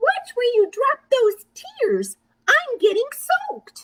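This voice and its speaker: In a put-on character voice, someone squeaks out words at a very slow pace. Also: woman, extremely high pitch for a woman. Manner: cross, annoyed.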